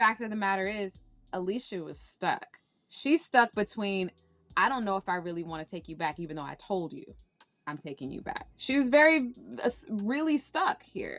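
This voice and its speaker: A woman with an American accent speaks with very wide pitch swings and big swings in loudness. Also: medium pitch for a woman, moderate pace. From Washington, D.C. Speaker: actress. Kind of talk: interview.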